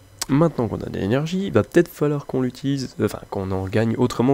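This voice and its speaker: Fairly quick and full of lively intonation, a man's voice carries a dark, mellow tone. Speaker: gaming YouTuber. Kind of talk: gameplay commentary. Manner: quiet, not very loud.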